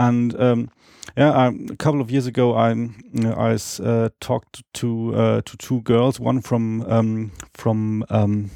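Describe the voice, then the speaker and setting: A man speaks with a German accent at a fairly slow pace, his pitch fairly low. His tone is dark and mellow, and his intonation stays flat and monotone. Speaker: Esperanto speaker. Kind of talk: interview. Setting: at home, in person. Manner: halting, many fillers and repetitions.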